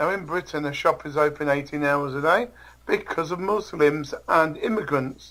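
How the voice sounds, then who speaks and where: In an English accent, a man speaks with a bright, sharp tone at a fairly high pitch and fairly slow pace, with ordinary pitch variation. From England. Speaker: interview guest. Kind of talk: interview. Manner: halting.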